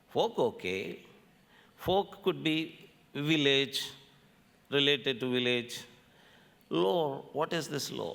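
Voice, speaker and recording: A man with a Telugu accent speaks very slowly in a fairly high voice with vocal fry, his pitch swinging very widely between long, frequent pauses. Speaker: scholar, folklore lecturer. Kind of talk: lecture.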